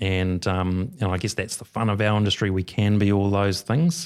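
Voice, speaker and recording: A man's fairly low voice with a New Zealand accent, at a moderate pace, in a very clean recording with a silent background. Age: 50s. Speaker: mortgage adviser. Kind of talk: casual chat.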